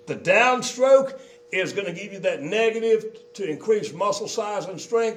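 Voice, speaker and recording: This man's voice sits high in pitch, with ordinary pitch variation. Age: 60s. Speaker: exercise machine company founder demonstrating equipment. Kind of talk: equipment demonstration. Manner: casual, halting with fillers.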